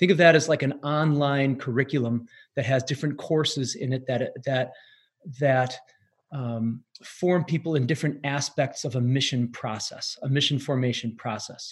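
Somewhat breathy and fairly high-pitched, a man with an Upper Midwest accent speaks at a moderate pace with fairly even intonation. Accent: Upper Midwest American. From US Midwest (northeast Wisconsin). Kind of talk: interview. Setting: remote call.

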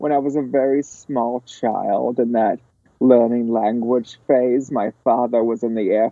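Here a man speaks with an American accent and fairly even intonation. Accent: slightly British-sounding American. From US West (born New Mexico, grew up Los Angeles). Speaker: podcast guest. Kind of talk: casual chat.

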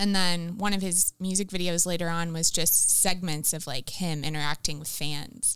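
A woman with a fairly low pitch speaks at a moderate pace, with hardly any pauses. Her intonation is fairly even, and it is an unremarkable speaking voice. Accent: American. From Florida. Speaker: campus missionary. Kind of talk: casual interview.

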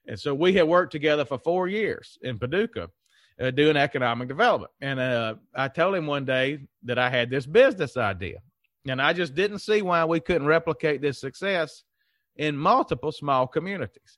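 A man speaks at a moderate pace with a Southern US accent. His pitch is fairly high, and the background is quiet. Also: lively intonation. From Mississippi, US South. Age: 30s. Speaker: economic development consultant and CEO. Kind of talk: casual interview chat.

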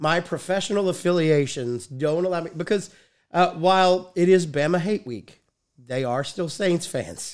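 The speaker has an American accent and a moderate pace. Pitch variation is ordinary, and the recording is very clean with a silent background. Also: man, high pitch for a man. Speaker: sports podcast host and PA announcer. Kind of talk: casual sports chat. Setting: studio.

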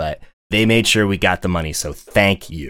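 A man with an unremarkable speaking voice, fairly low in pitch with ordinary pitch variation, in a very clean recording with a silent background. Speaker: local official and live stream host. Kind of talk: casual live-streamed talk show. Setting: live stream.

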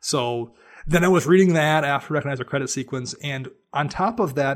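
A man with an unremarkable speaking voice, fairly high pitch, ordinary pitch variation and a fairly quick pace. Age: 40s. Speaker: podcaster and writer. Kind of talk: casual chat.

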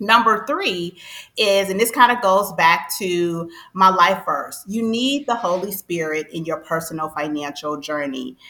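This is an unremarkable speaking voice from a woman at medium pitch. She talks at a fairly slow pace with lively intonation. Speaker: financial coach. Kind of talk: interview.

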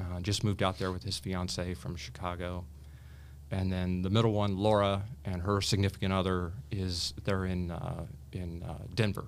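Audible room echo surrounds a man's very deep, low voice. He speaks at a moderate pace with an American accent. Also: fairly even intonation. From US Midwest, Indiana. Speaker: attorney and cancer survivor. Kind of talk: interview, personal story.

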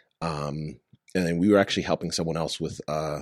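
A man with an American accent has a very deep, low pitch and ordinary pitch variation. He speaks at a moderate pace in a dry, close sound with no echo. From Long Island, New York. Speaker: startup founder. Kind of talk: casual interview chat.

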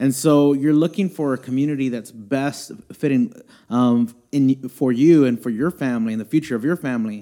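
A dark, mellow tone with an American accent at a moderate pace. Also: man, medium pitch for a man, ordinary pitch variation. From Houston, Texas. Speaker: youth ministry director and pastor. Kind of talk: casual interview conversation. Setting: church.

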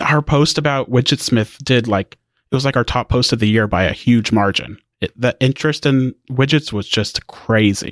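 A man at medium pitch uses an ordinary speaking voice with ordinary pitch variation and a moderate pace, in a very clean recording with a silent background and a dry, close sound with no echo. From Indiana. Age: 20s. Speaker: tech news editor. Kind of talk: casual interview.

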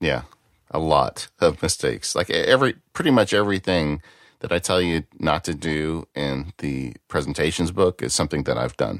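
A man speaks at a moderate pace in a very deep, low voice with vocal fry, recorded dry and close with no echo, very clean against a silent background. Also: lively intonation. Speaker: lawyer and author. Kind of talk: casual chat.

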